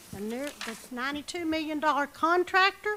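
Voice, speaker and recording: Raising and projecting her high-pitched voice, a woman makes very wide pitch swings over noticeable background noise. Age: 60s. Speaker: public commenter at county meeting. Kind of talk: public comment. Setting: county commission meeting. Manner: animated.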